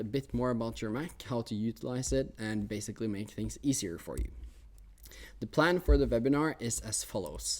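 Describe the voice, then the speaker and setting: A man's dark, mellow tone with a Norwegian accent and ordinary pitch variation. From Norway. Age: 20s. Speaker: technology teacher. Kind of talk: webinar presentation. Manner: hesitant, many fillers.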